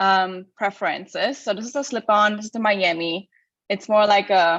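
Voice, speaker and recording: Against a quiet background, a woman with a German accent talks at a moderate pace and medium pitch, her loudness swinging widely. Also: ordinary pitch variation. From Germany. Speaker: shoe company co-founder. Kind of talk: casual chat. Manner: hesitant, many fillers.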